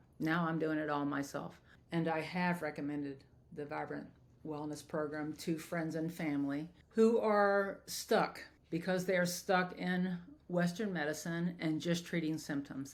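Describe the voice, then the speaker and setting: This woman speaks at a fairly low pitch with fairly even intonation. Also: fairly slow pace. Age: 60s. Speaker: former surgical assistant, clinic client. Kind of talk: testimonial. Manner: halting, with fillers.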